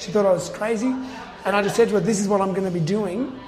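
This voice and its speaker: Over noticeable background noise, a man with an Australian accent speaks with fairly even intonation. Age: 40s. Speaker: trail running podcast host. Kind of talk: interview.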